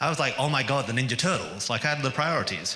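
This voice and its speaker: With a British accent, a man speaks in a bright, sharp tone, and room echo can be heard. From England. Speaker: activist speaker. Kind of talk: public speech. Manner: conversational, with jokes and hesitations.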